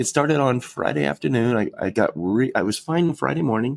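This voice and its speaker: A man's voice at a fairly quick pace, with very wide pitch swings. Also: dry, close sound with no echo. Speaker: funeral director, podcast co-host. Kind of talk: casual chat. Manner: breathing heavy.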